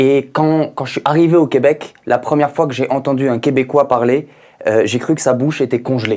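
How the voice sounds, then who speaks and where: This man has a fairly high voice and an animated tone. His pace is moderate. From France, Paris. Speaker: stand-up comedian. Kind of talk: stand-up.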